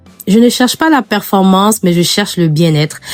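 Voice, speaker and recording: The speaker is a woman whose voice is medium in pitch. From Africa. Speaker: lifestyle vlogger. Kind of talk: clean-with-me vlog narration. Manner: casual, encouraging.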